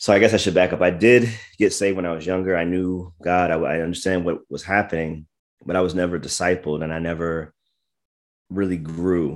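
A man with an American accent and a very deep, low pitch, fairly even intonation and a fairly quick pace, on a very clean recording with a silent background. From US East Coast (Maryland and Virginia). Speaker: pastor and apologist. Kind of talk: interview.

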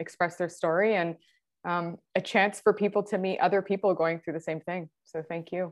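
A woman speaks in a Canadian accent with an ordinary speaking voice. Her pace is moderate and her intonation fairly even. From Ontario, Canada, near Niagara Falls. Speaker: endometriosis patient sharing her story. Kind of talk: casual interview, personal story.

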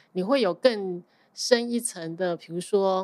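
Her intonation lively and her pitch medium, a woman speaks at a very slow pace on a very clean recording with a silent background. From Taiwan. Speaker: accountant. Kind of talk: casual interview chat. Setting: podcast interview.

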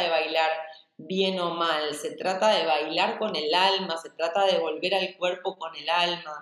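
A woman with a medium pitch talks at a fairly slow pace, with audible room echo and noticeable background noise. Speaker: dance and movement teacher. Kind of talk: interview.

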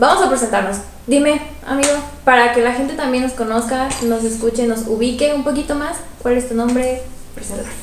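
Noticeable background noise and audible room echo fill this recording. A woman speaks at a high pitch and a fairly quick pace, in an animated tone. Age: 20s. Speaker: podcast co-host. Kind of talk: casual chat.

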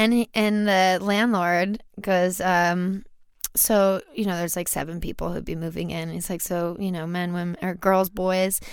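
On a very clean recording with a silent background, a woman with an American accent speaks at a moderate pace in a medium pitch with monotone, flat intonation. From US South, Louisiana (Baton Rouge). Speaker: stripper and musician. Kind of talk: casual chat.

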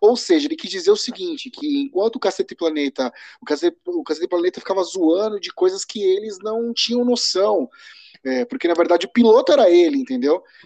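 Speaking at a fairly quick pace, a man with a high pitch and a dark, mellow tone makes very wide pitch swings. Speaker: podcast co-host. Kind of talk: casual chat. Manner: halting, repeats words.

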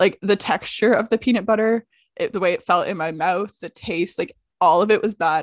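In a normal speaking voice, a woman talks at a fairly quick pace with a medium pitch and ordinary pitch variation, the sound dry and close with no echo. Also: very clean recording, silent background. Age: 20s. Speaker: comedian and podcast co-host. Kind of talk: casual chat.

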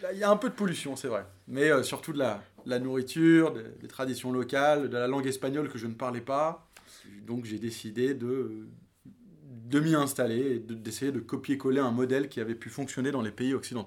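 With an ordinary speaking voice, a man talks at medium pitch and a moderate pace, his pitch varying in an ordinary way. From France, teen years in New York. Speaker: venture capital investor. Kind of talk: interview.

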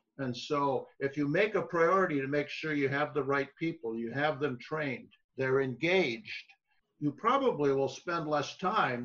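In an American accent, a man speaks with a bright, sharp tone. His pitch is fairly high, with ordinary pitch variation. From Michigan. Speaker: retired professor and farm leadership consultant. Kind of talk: interview.

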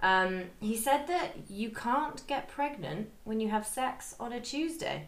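Her pitch sits fairly high and her intonation is lively, with hardly any pauses at a very slow pace. Audible room echo surrounds the woman's voice. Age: 30s. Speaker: podcast co-host. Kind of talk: casual chat.

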